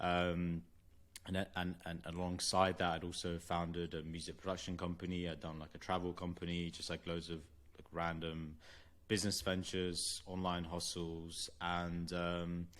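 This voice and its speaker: A man with a London accent, very deep and low in pitch, monotone and flat, at a moderate pace. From London, England. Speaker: venture capital investor. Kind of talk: interview.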